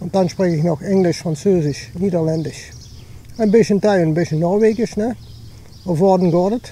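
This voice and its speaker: Amid noticeable background noise, a high-pitched man speaks at a moderate pace with long, frequent pauses. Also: ordinary pitch variation. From Dutch-German border, Limburg. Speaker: hiking vlogger. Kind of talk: casual vlog narration while walking. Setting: outdoors, hiking. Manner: casual, searching for words.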